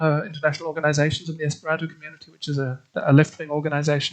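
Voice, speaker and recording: The speaker is a man with a slight German accent. His pitch is fairly high. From Australia. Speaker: literary translator. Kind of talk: interview. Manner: halting, many repetitions and fillers.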